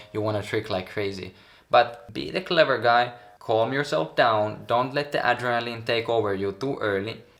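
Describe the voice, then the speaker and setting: Speaking with a strong Finnish accent, a man of medium pitch talks at a moderate pace with ordinary pitch variation. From Finland. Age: 20s. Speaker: pro tricker. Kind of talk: coaching advice talk.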